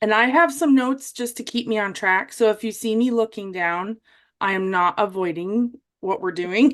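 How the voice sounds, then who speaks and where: A woman with a Wisconsin accent speaks at a moderate pace in a fairly high pitch, her pitch varying in an ordinary way against a quiet background. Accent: Wisconsin American. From US Midwest, Wisconsin. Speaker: military veteran and former vet tech with dystonia. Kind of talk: interview testimony.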